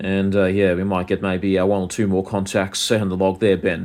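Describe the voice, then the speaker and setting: With an Australian accent, a man talks at a very fast pace and a fairly low pitch. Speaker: ham radio operator. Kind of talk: radio contact conversation. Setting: amateur radio over the air. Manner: halting, many fillers.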